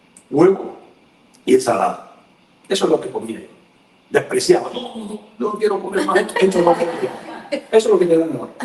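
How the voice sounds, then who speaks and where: A man's voice against noticeable background noise. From Cuba. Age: 60s. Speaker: journalist. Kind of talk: casual chat.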